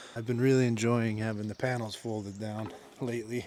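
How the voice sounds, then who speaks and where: Noticeable background noise and audible room echo surround a moderately paced, monotone, flat delivery. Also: man. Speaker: travel vlogger. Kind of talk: casual vlog narration. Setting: outdoors camping by a river.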